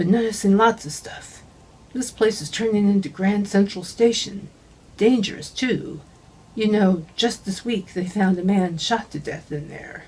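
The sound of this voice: A put-on character voice that sounds female comes out breathy at medium pitch for a woman and a moderate pace.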